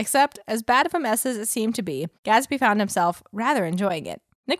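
Lively intonation in plain reading aloud, with a quiet background

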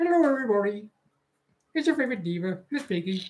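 A put-on character voice, female-sounding, fairly high-pitched and very fast. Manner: haughty, theatrical.

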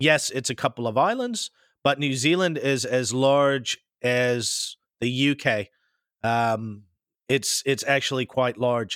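Speaking very slowly, a man with an American accent keeps a medium pitch and ordinary pitch variation. The recording is very clean, with a silent background. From US Pacific Northwest, later Midwest. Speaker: podcast host. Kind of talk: casual interview chat.

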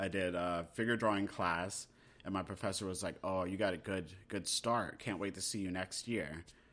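Against a quiet background, a man with a very deep, low voice and an American accent talks at a moderate pace with fairly even intonation. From US, military family (Germany, South Carolina, Texas, Maryland). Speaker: cartoonist and graphic novelist. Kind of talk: casual chat.

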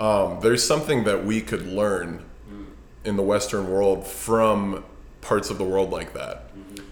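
A man with an American accent, fairly low pitch and fairly slow pace, plus audible room echo. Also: fairly even intonation, big swings in loudness. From US West Coast, Los Angeles. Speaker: fitness coach and investor. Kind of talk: casual interview. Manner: halting, many fillers.

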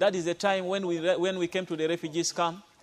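In a South Sudanese accent, a man speaks at a high pitch. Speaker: pastor and instructor. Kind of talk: testimony. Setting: outdoors by a river.

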